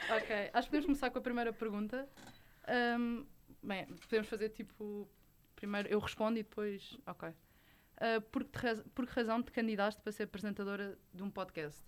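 Speaking at a moderate pace with long, frequent pauses, a woman uses a fairly high pitch and ordinary pitch variation. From Portugal, Lisbon (Olivais). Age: young. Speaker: podcast co-host. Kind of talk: casual chat.

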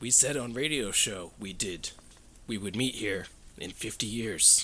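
Over clear background noise, a man uses a put-on character voice at medium pitch and a fairly slow pace. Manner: acted, put-on.

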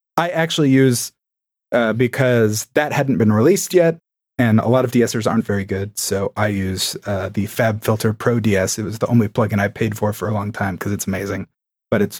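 The recording is very clean, with a silent background and a dry, close sound with no echo. A man speaks at a fairly low pitch with ordinary pitch variation. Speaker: comedian and podcaster. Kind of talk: casual chat. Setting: live stream. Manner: energetic.

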